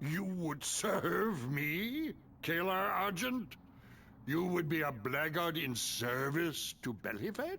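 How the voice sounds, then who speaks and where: A man in a put-on character voice talks at a fairly slow pace with high pitch and lively intonation, against clear background noise. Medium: video game. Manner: menacing, gloating.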